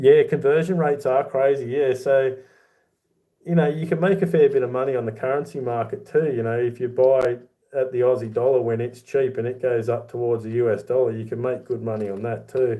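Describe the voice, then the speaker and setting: With an Australian accent, a man speaks at a medium pitch and ordinary pitch variation. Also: fairly quick pace. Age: 40s. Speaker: YouTuber, silver collector. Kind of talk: livestream chat reading comments. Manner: casual, conversational.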